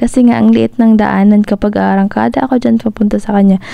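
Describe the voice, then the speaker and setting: A woman speaks at a very fast pace. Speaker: motorcycle travel vlogger. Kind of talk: vlog voiceover narration. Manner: casual, chatty.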